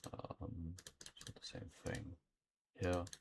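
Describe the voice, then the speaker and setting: A man's very deep, low voice, somewhat breathy. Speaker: trading streamer. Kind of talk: live trading commentary. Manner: casual, halting with fillers.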